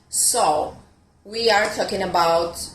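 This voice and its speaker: Speaking at a very slow pace, a woman with an Italian accent uses a fairly low pitch, with noticeable background noise and audible room echo around her. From Italy. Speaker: fitness coach. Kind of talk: online fitness talk. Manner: hesitant, with many fillers.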